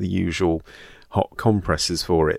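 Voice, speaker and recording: A man with a British accent, fairly even intonation and a fairly slow pace, on a very clean recording with a silent background. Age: 40s. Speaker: GP and podcast host. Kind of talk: scripted narration; casual chat.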